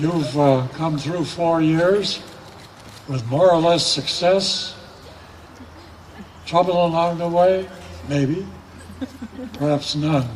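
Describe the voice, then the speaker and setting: Delivered at a very slow pace with long, frequent pauses and fairly even intonation, the speech has noticeable background noise behind it. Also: man, high pitch for a man. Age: 80s+. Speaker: commencement speaker. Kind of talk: commencement address.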